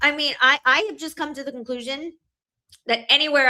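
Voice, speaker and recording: A woman talks fairly quickly in a raised, projected voice. Her tone is bright, sharp and animated. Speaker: family law attorney. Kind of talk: casual chat. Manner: fast.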